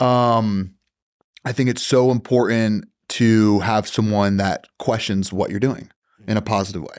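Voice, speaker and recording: In a very clean recording with a silent background, a normal speaking voice delivers its lines with fairly even intonation. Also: man. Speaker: podcast guest. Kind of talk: casual chat. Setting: studio.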